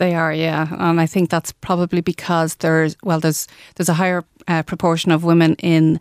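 In an Irish accent and a monotone, flat intonation, the speaker comes through a very clean recording with a silent background and a dry, close sound with no echo. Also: woman. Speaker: business network representative. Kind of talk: radio interview. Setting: studio.

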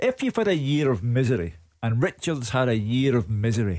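At a moderate pace, a man talks with lively intonation, medium pitch and a slightly mellow tone.

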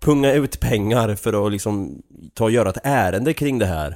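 This man speaks with a strong Östergötland accent. His intonation is lively. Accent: broad Östergötland dialect. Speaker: podcast host. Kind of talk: casual chat.

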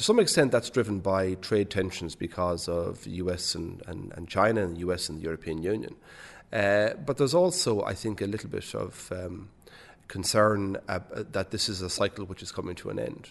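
With a Waterford Irish accent, a man speaks in a fairly low voice with ordinary pitch variation. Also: moderate pace. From Ireland, Waterford. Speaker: bank chief executive. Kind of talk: interview. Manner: hesitant, many fillers and repetitions.

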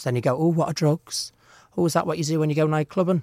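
The speaker is a man. The recording is very clean with a silent background and a dry, close sound free of echo. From North Wales. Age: 20s. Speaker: drag queen. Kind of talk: interview. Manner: animated.

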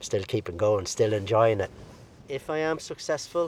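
With an Irish accent, a man talks in a fairly low, somewhat breathy voice with lively intonation. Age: 60s. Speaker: amateur ultra runner. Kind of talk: casual chat.

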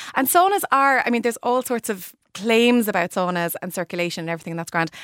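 A woman's very fast speech on a very clean recording with a silent background, dry and close with no echo. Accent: Irish. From Ireland, Limerick. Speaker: interiors expert. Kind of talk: radio interview.

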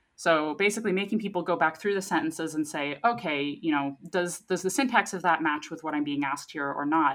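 A woman talks in a normal speaking voice at a fairly low pitch, with ordinary pitch variation. She moves at a fairly quick pace with hardly any pauses. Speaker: scientist, news segment guest. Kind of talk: casual science news discussion.

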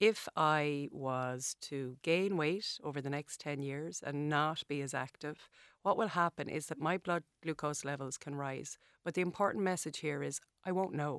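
In an Irish accent, a woman with a very deep, low pitch talks at a moderate pace with ordinary pitch variation, recorded dry and close with no echo on a very clean recording against a silent background. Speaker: dietitian. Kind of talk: interview. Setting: studio.

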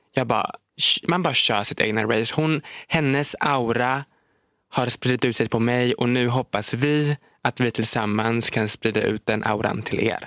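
A man talks in a plain, everyday voice at a medium pitch and moderate pace, with ordinary pitch variation. His loudness is very even, and the sound is dry and close with no echo. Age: 20s. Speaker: social media creator and podcast co-host. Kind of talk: casual chat. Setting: studio.

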